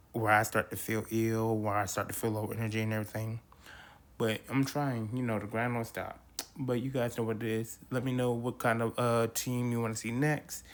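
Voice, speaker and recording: Monotone and flat, a man talks at a medium pitch and a moderate pace. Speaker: podcast host. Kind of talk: casual commentary.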